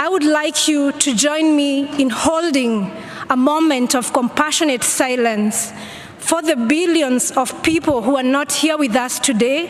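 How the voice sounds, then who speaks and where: There is noticeable background noise behind this woman. She speaks at a high pitch and a fairly slow pace. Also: ordinary pitch variation. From Kenya. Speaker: climate activist. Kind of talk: speech at a conference. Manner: earnest, pleading.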